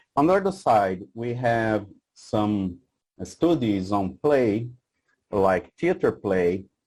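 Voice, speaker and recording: With a Portuguese accent and a fairly low pitch, a man speaks at a very slow pace in a very clean recording with a silent background. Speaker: researcher. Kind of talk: conference presentation. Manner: halting, many fillers.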